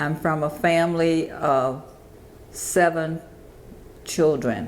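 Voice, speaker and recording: Speaking at a very slow pace, a woman uses a very deep, low pitch with ordinary pitch variation. Room echo is audible. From US South, Georgia (East Point). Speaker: interviewee. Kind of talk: oral history interview.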